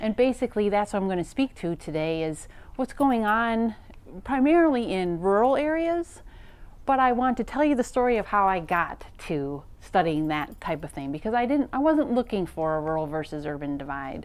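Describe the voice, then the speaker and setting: The speaker talks with a Wisconsin accent. The pitch swings very widely. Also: woman, medium pitch for a woman, moderate pace. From US Midwest, Wisconsin. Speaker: professor. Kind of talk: lecture.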